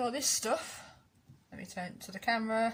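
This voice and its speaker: A quiet woman speaks over noticeable background noise. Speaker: campervan DIY vlogger. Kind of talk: casual vlog update. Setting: outdoors in a van. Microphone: too quiet, mic partly covered.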